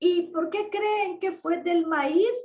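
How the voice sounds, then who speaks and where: Her voice sits at an extremely high pitch, with ordinary pitch variation. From Nicaragua. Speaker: ex-Jehovah's Witness activist vlogger. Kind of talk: personal testimony monologue. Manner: slow, deliberate pacing.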